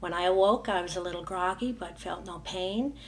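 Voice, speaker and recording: Audible room echo, a moderate pace and ordinary pitch variation. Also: woman. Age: 60s. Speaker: dental patient giving testimonial. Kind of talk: testimony. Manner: halting, many fillers.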